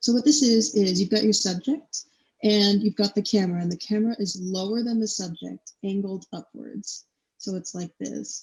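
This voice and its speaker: The woman's voice is somewhat breathy, at medium pitch. She keeps a moderate pace with ordinary pitch variation. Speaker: university student presenter. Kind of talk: lecture. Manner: casual, filler-heavy.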